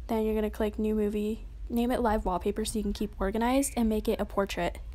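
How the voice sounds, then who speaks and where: Speaking at a very fast pace, a woman keeps a monotone, flat intonation and very even loudness. Her pitch is fairly high and her tone dark and mellow. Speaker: app tutorial creator. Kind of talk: tutorial. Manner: casual, informal.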